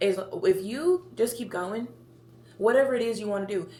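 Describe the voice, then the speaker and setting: Woman with a Memphis accent, lively intonation and a moderate pace, amid noticeable background noise. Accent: Southern US (Memphis area). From Tennessee, near Memphis. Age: 20s. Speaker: podcast host. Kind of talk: casual monologue. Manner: chatty, rambling talker.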